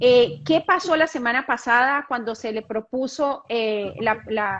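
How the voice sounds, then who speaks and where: A high-pitched woman with lively intonation over noticeable background noise. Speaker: immigration channel host. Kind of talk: live-stream interview. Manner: fast.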